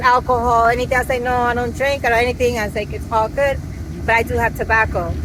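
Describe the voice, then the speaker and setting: There is noticeable background noise. A woman speaks in a high pitch. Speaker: travel vlogger. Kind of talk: casual chat. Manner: fast.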